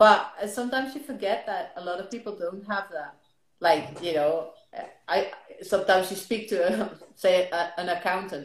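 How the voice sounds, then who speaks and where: With a Dutch accent, a woman speaks at a moderate pace with ordinary pitch variation, big swings in loudness and audible room echo. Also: medium pitch for a woman. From Netherlands. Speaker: lifestyle blogger. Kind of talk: casual interview.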